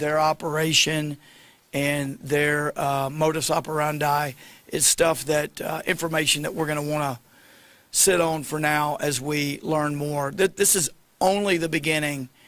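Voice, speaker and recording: Speaking at a moderate pace with fairly even intonation, a man with a fairly high pitch is heard in a very clean recording against a silent background. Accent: Southern. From US South, Arkansas. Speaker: state attorney general. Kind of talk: press conference. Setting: news conference.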